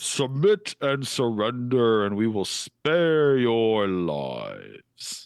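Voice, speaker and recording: A man booms in a put-on character voice at a medium pitch. He goes at a very slow pace. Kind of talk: stern military. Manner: booming, commanding.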